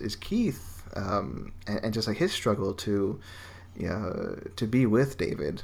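A man at a fairly slow pace. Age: 30s. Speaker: film website editor and podcaster. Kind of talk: casual chat. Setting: podcast recording. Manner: halting.

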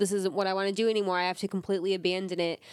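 A woman at medium pitch is heard on a very clean recording with a silent background, the sound dry and close with no echo. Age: 20s. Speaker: host's girlfriend, recurring podcast guest. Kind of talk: casual chat.

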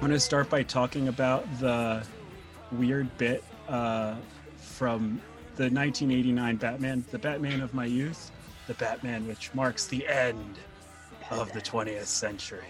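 A gravelly, put-on character voice at a fairly slow pace, with music in the background. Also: man, medium pitch for a man.

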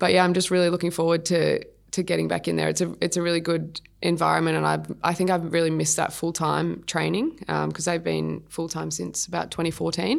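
She has an Australian accent. This woman's delivery comes at a fairly quick pace. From Sydney, Australia. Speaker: professional athlete. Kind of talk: interview.

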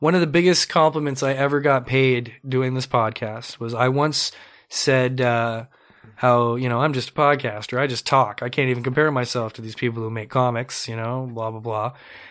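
A man with a Canadian accent has a plain, everyday voice at medium pitch, speaking at a moderate pace with fairly even intonation. The recording is very clean, with a silent background. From Ontario, Canada (Mississauga). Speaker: podcast host. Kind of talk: casual interview chat. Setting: studio.

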